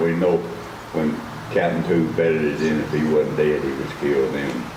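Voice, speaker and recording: Speaking with an American accent at a moderate pace, a man has a very deep, low pitch, with audible room echo and noticeable background noise. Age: 90s. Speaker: war veteran. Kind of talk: speech. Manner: folksy storytelling.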